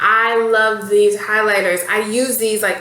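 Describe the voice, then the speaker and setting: A woman with a fairly high pitch is heard with noticeable background noise and audible room echo. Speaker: beauty vlogger. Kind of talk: casual product review to camera. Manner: fast; animated.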